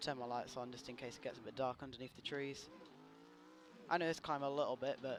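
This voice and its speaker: A man with a British accent talks at a moderate pace and a medium pitch. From Britain. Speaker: gaming streamer and drifter. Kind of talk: live gameplay commentary. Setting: live stream. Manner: casual, chatty.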